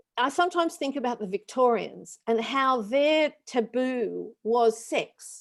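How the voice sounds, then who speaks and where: A woman speaks with an Australian accent. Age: 60s. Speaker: panel guest speaker. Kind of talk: webinar panel discussion. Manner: conversational with frequent fillers.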